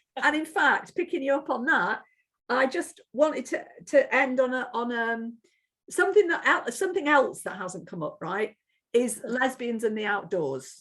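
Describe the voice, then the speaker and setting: Speaking in an English Midlands accent, a woman with a high pitch makes very wide pitch swings. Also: moderate pace. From Corby, English Midlands. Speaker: interviewer, activist. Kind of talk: interview.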